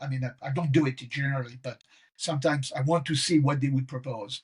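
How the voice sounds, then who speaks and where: A man speaks in a French accent with a fairly high pitch, a somewhat breathy quality and ordinary pitch variation. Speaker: professor. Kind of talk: casual chat.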